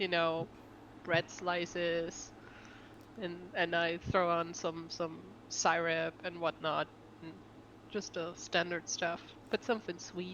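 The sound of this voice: Slowly and with little pitch movement, a woman speaks at a fairly low pitch in a fairly bright tone.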